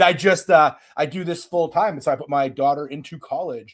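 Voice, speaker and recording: A man with an unremarkable speaking voice, a fairly high pitch, ordinary pitch variation and a moderate pace. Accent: Canadian. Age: 40s. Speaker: self-defense instructor. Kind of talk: interview conversation.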